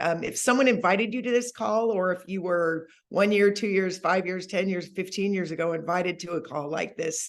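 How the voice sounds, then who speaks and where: Over a quiet background, a woman of medium pitch talks at a fairly quick pace in an enthusiastic tone. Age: 60s. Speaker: network marketing leader. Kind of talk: sales presentation on a call.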